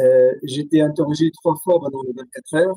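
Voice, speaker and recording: Speaking with an Arabic accent, a man has a fairly high voice with a dark, mellow tone in a dry, close sound with no echo. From Syria. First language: Arabic (speaking French). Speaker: writer and poet. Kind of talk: interview testimony. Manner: halting, many hesitations.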